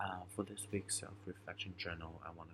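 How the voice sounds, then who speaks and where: A quiet man's voice, very deep and low in pitch, with monotone, flat intonation. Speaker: student keeping a reflection journal. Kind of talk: personal video journal. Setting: at a friend's home at night. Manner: quiet, hushed; hesitant, many fillers.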